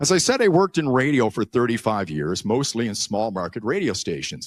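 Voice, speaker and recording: In a very clean recording with a silent background, a man with an ordinary speaking voice talks at a fairly quick pace and medium pitch, with lively intonation and a dry, close sound with no echo. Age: 60s. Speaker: YouTuber and former radio broadcaster. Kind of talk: conference speech.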